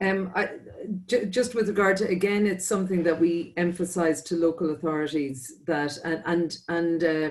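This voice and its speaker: This speaker talks at a moderate pace with an Irish accent. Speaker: transport programme representative. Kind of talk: webinar panel discussion. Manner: halting, many repetitions and fillers.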